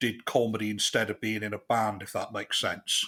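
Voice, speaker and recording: On a very clean recording with a silent background, a man speaks with a West Country accent. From southwest England, Chippenham. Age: 40s. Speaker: comedian. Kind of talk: casual interview chat.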